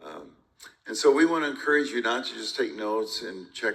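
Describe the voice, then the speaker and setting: Talking fairly quickly, the man is heard with audible echo from the room. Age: 70s. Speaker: pastor. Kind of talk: onstage conversation at a conference.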